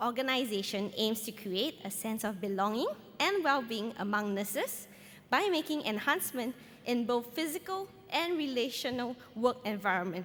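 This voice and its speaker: Over noticeable background noise, a woman with a high pitch talks at a moderate pace, her voice making very wide pitch swings. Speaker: nurse researcher. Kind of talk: conference presentation.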